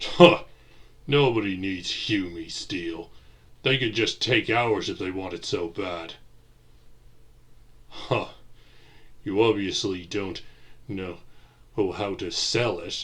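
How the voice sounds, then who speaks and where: A man uses a put-on character voice at a fairly low pitch, moving at a fairly slow pace with long, frequent pauses. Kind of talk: audio drama with several character voices.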